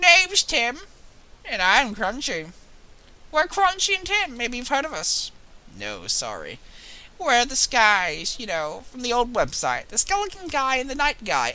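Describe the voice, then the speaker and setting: A woman puts on a character voice, pitched high and paced moderately. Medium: game stream. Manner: friendly, chatty.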